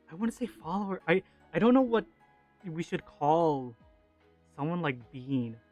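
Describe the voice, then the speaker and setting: A man's high voice with very wide pitch swings, a moderate pace and long, frequent pauses, set against background music. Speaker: vtuber streamer and artist. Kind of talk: casual livestream chat. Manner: calm.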